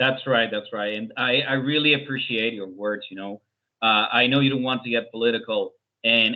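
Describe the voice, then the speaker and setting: A man with a Spanish accent, medium pitch, moderate pace and fairly even intonation. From Venezuela. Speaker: interviewer, translator. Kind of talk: interview conversation.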